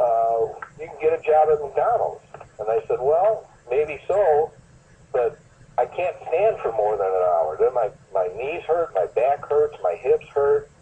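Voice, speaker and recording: Fairly slow speech with noticeable background noise. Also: man. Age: 70s. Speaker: valley fever survivor. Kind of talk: interview. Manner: halting.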